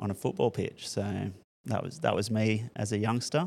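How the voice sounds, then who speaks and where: A man with an Australian accent speaks at a fairly slow pace and a fairly low pitch. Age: 40s. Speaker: school principal. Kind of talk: casual chat. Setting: classroom.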